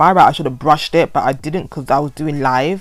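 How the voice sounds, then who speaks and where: Speaking with a London accent, a woman uses a very deep, low pitch with ordinary pitch variation. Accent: London, multicultural London English. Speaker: hair vlogger. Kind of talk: voiceover tutorial. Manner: stuttering; casual, rambling.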